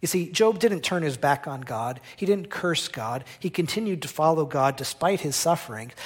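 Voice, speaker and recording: Lively intonation marks this man's normal speaking voice, fairly high in pitch, at a moderate pace with an American accent. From New Jersey. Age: 40s. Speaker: missionary journalist. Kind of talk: sermon. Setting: church.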